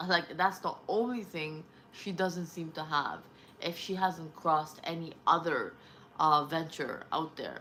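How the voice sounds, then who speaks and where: In a non-native accent, the speaker uses a bright, sharp tone at a fairly slow pace. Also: woman. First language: not English. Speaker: vlogger. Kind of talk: casual monologue. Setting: at home, early morning. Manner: rambling, hesitant.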